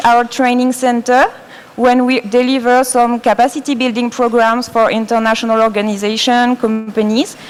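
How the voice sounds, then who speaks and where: A woman with a French accent speaks at a high pitch and a moderate pace over noticeable background noise. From France. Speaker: design educator. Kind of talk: presentation. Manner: halting.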